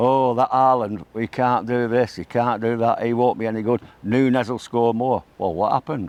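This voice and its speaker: A man with a Mancunian accent at medium pitch, moderate pace, fairly even intonation and hardly any pauses. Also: quiet background. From Manchester, England. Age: 60s. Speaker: football fan. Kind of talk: casual chat.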